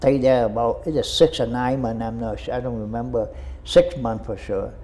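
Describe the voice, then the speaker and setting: Speaking at a moderate pace with a Vietnamese accent, a man shows big swings in loudness. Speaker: war veteran. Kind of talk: interview answer.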